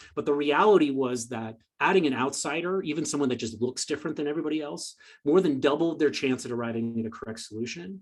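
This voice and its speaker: A man rattles along very fast in a fairly high voice whose pitch varies in an ordinary way. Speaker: presenter. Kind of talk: lecture.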